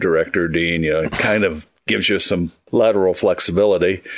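At a very fast pace, a man talks in a very deep, low pitch. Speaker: university professor and terrorism expert. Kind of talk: casual discussion. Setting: remote call.

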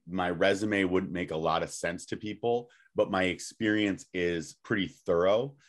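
With a quiet background, a man talks in a very deep, low pitch with ordinary pitch variation. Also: moderate pace. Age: 30s. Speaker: podcast guest or co-host. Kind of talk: casual chat. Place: home room. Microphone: webcam.

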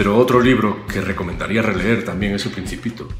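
Clear music playing behind a man's voice at a moderate pace. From Galicia, Spain. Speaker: actor. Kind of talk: interview answer. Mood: calm, reflective. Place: home room. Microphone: webcam.

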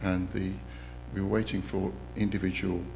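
A man with a very deep, low pitch and vocal fry speaks at a moderate pace with very wide pitch swings, over light background noise. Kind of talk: informal testimony sharing. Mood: warm, reflective. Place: church. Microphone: podium.

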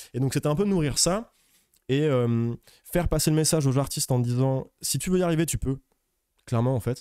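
A man with a dark, mellow tone speaks at a fairly quick pace and a medium pitch, with lively intonation. He takes long, frequent pauses against a quiet background. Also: dry sound with no echo. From France, Lyon; France. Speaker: music manager; guest. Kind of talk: casual interview chat. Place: studio. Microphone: studio mic.

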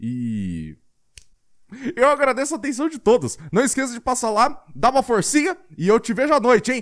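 A man talks at a moderate pace with an extremely high pitch. The background is quiet. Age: 20s. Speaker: gaming youtuber. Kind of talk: video pitch. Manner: animated; halting. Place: home room. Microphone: studio mic.

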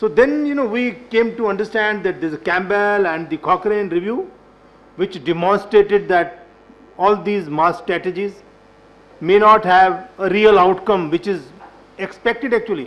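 The voice belongs to a man with a high pitch. His pitch varies in an ordinary way. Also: moderate pace. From India. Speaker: government health official; panelist. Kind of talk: panel discussion. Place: meeting room. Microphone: podium.

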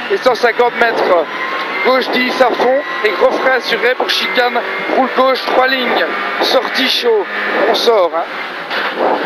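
Over loud background noise, the speech comes very slowly with long, frequent pauses and a dry sound with no echo. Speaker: rally co-driver. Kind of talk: rally pace notes read aloud to the driver. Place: car. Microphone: headset.

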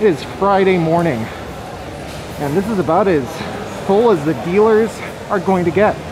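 Moderate pace and ordinary pitch variation from a woman, with noticeable background noise behind her. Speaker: convention vlogger. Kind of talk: casual vlog chat. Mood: relaxed, lightly amused. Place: hall. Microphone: phone near.

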